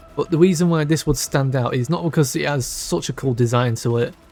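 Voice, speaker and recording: Music plays in the background. A man talks at a fairly quick pace with ordinary pitch variation. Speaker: gaming YouTuber. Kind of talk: casual gaming commentary. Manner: halting, self-correcting.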